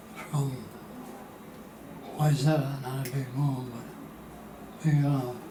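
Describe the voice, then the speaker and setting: Against noticeable background noise, a soft-spoken man of medium pitch talks at a very slow pace in a monotone, flat way, with long, frequent pauses. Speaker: retired company president and oil painter. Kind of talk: interview answer.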